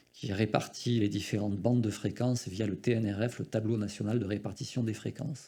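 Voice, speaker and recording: A man's fairly low, dark, mellow voice with vocal fry, in a southwestern French accent, at a moderate pace. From southwestern France. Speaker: radio federation representative. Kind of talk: conference talk. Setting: conference with audience. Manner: hesitant, many fillers.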